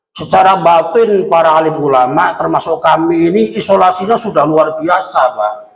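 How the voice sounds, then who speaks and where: A man's high voice with lively intonation at a fairly slow pace, set in audible room echo. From Central Java (Kendal, Kaliwungu). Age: 50s. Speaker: Islamic preacher. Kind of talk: sermon. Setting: mosque.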